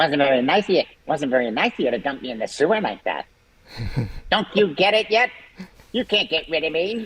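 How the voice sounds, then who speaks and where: A put-on character voice speaks at a middle pitch and a fairly quick pace. Long pauses come frequently. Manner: creepy, taunting.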